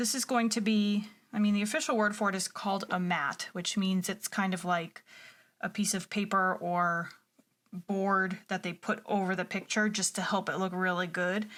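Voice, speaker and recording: An ordinary speaking voice from a woman, moderate in pace, medium in pitch, with fairly even intonation. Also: very clean recording, silent background. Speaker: art teacher. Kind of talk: drawing tutorial. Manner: encouraging, conversational.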